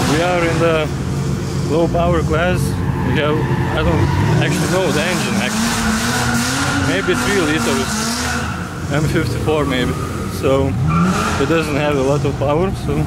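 With long, frequent pauses, a man talks over loud background noise in a dry sound with no echo. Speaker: drift team member vlogger. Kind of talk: casual vlog chat. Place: forest. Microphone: phone near.

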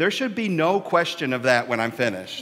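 This man's pitch swings very widely as he speaks. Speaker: minister. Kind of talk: sermon. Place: church. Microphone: headset.

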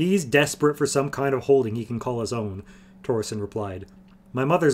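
The recording features reading aloud in a natural voice, and its pitch shows ordinary variation.

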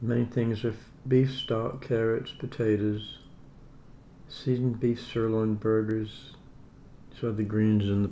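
A man speaks very slowly in a dark, mellow, monotone, flat voice with long, frequent pauses. Light background noise is present. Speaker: home food reviewer. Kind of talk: casual vlog chat. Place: home room. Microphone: phone near.

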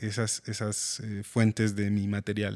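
A man speaking at a very slow pace against a quiet background. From Mexico, Pachuca; Mexico. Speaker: composer and music teacher; music teacher. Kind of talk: interview. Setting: school. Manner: halting. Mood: calm, friendly. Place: studio. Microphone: studio mic.

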